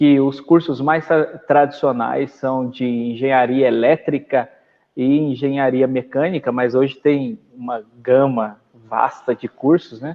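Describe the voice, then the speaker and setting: The speaker has a rural Minas Gerais accent and fairly even intonation. The pace is very slow. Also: man, medium pitch for a man. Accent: rural Minas Gerais (caipira). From southern Minas Gerais, Brazil (Itajubá). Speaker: pastor. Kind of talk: casual conversation.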